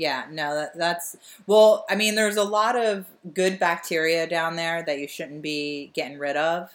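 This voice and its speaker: A woman with an American accent talks fairly slowly in an unremarkable speaking voice, fairly low in pitch, with ordinary pitch variation. The recording is very clean, with a silent background. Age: 30s. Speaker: podcast co-host, comedian. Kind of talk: casual chat.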